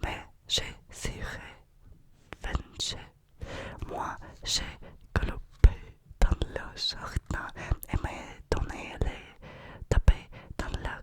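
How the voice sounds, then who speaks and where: Noticeable background noise sits behind a woman's whisper, which moves at a very slow pace. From Russia. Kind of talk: ASMR book reading. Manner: whispered, soft.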